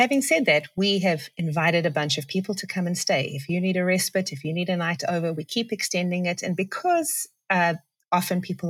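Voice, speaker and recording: A woman with a South African accent speaks at a fairly quick pace, her voice somewhat breathy. Her pitch is fairly low with ordinary variation, in a very clean recording with a silent background. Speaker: pastor and writer. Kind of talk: casual chat. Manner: laughs often.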